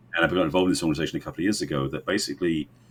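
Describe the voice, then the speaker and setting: A man's voice with an English accent, vocal fry and ordinary pitch variation. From England. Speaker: relationship coach. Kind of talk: podcast interview.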